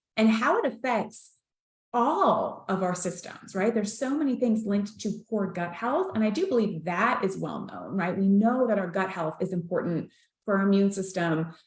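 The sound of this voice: A woman speaks at a moderate pace with a medium pitch and lively intonation. Noticeable room echo surrounds her voice.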